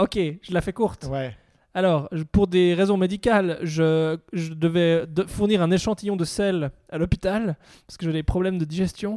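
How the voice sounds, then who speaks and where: With a dark, mellow tone and a high pitch, a man speaks at a fairly slow pace with fairly even intonation and big swings in loudness on a very clean recording with a silent background. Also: dry, close sound with no echo. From French-speaking Switzerland. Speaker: comedian. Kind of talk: casual chat. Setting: in a home in Lausanne.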